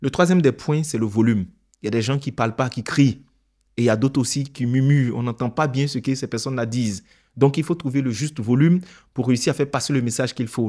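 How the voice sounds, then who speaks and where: The man's tone is dark and mellow, medium in pitch with ordinary variation. He speaks at a fairly quick pace on a very clean recording with a silent background. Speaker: public speaking coach. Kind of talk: tutorial. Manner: clear diction.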